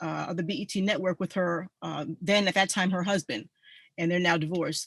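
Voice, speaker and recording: In an American accent, a woman talks at medium pitch with ordinary pitch variation, an unremarkable speaking voice, against a quiet background with a dry, close sound and no echo. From New England, US (Mystic, Connecticut). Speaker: army veteran, presenter. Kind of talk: online group presentation.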